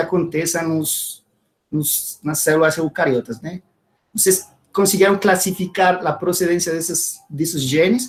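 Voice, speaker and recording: Speaking at a moderate pace with fairly even intonation, a man with a Spanish accent has a high-pitched voice. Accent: Spanish-accented Portuguese (portunhol). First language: Spanish (speaking Portuguese). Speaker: scientist, audience member asking a question. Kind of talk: academic Q&A question. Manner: halting, with fillers.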